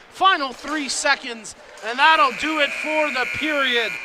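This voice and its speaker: A raised, projected voice at a fairly slow pace with ordinary pitch variation, over noticeable background noise. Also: man. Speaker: play-by-play commentator. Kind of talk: live commentary. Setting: broadcast stand at arena.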